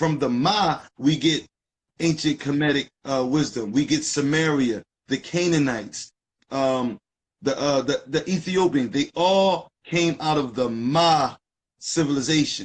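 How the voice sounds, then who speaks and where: A man with an American accent speaks fairly slowly in a fairly high pitch. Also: ordinary pitch variation. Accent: Philadelphia accent, people notice it. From US, North Philadelphia. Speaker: live stream co-host, esoteric teacher. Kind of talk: casual live stream discussion. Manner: animated.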